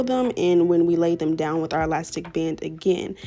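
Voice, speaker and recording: A woman is talking. Behind her, music plays. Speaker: hair and wig tutorial creator. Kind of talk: tutorial. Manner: casual, chatty voiceover.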